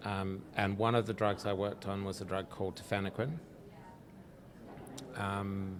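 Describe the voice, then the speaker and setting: In an Australian accent, a man talks at a moderate pace with a fairly low pitch and fairly even intonation. Long, frequent pauses stand out, and there is audible room echo. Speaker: drug researcher, company founder. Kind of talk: interview. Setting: live at a conference.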